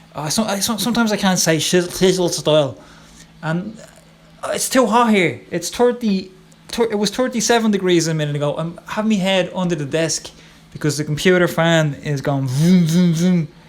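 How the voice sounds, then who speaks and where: A high-pitched man at a moderate pace, ordinary pitch variation, noticeable background noise behind him. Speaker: illustrator and software tutorial maker. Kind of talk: tutorial. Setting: home office. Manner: casual, chatty; stumbling over words. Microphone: close to mic, setup struggles.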